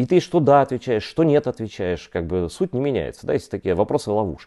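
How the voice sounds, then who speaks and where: A man's dark, mellow voice with very wide pitch swings, at a moderate pace over a quiet background. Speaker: journalist. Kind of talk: online interview. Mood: serious, earnest. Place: home room. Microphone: poor internet connection; lapel.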